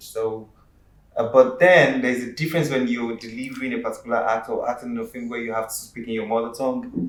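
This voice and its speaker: A man with a Yoruba accent talks at a fairly quick pace. His pitch is medium and his intonation fairly even. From Nigeria, Yoruba. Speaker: actor and screenwriter. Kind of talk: talk show interview.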